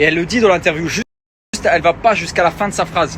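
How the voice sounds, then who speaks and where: The man speaks with a fairly high pitch. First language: Luxembourgish (speaking French). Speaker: reality TV personality and influencer. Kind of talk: social media rant.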